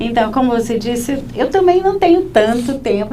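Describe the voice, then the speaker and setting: A woman with lively intonation at a moderate pace, with audible room echo and noticeable background noise. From Rio de Janeiro, Brazil. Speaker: labor lawyer. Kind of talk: interview.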